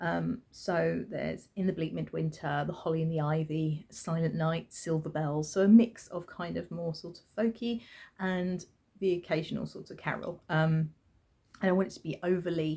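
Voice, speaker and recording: A soft-spoken woman with a British accent has a dark, mellow tone and fairly low pitch, speaking at a moderate pace. Her loudness swings widely on a very clean recording with a silent background. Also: fairly even intonation. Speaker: crafting podcaster and yarn dyer. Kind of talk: casual chat. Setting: at home with newborn son. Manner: hesitant, many fillers.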